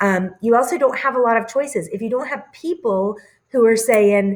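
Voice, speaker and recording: A woman speaks in an ordinary speaking voice, fairly high in pitch, with lively intonation. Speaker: teacher. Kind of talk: recorded lecture over slides. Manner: casual with many fillers.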